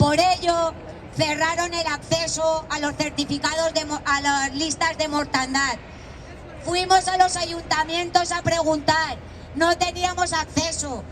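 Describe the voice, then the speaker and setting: This woman's voice is extremely high-pitched, delivered at a fairly slow pace with a monotone, flat intonation. Crowd noise fills the background. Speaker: protest speaker, flood victim's relative. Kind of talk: protest speech. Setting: outdoor rally with crowd. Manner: impassioned.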